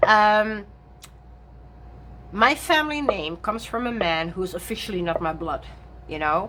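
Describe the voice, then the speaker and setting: A woman with a non-native accent speaks at a fairly slow pace, with long, frequent pauses. Her fairly high, bright, sharp voice swings very widely in pitch. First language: not English. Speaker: tarot reader and content creator. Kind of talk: casual chat. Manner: halting, many fillers.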